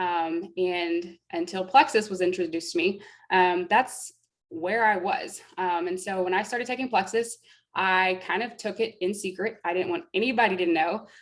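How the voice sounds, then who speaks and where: Using a normal speaking voice, a woman with an American accent talks at a medium pitch and moderate pace with ordinary pitch variation, in a very clean recording with a silent background. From Texas (Fort Worth). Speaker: network marketing presenter. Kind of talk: sales pitch testimony.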